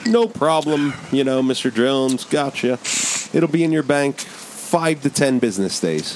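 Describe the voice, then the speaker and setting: A man with a fairly high pitch and a relaxed tone speaks at a fairly slow pace with lively intonation. His loudness stays very even over noticeable background noise. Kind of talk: casual banter, crude and joking. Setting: studio. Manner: relaxed, rambling, jokey.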